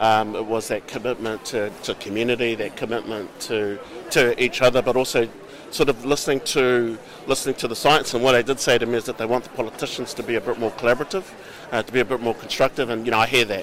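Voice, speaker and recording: A man with a New Zealand accent talks at a very fast pace and a medium pitch. His intonation is fairly even, with noticeable background noise. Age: 50s. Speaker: politician. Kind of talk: interview.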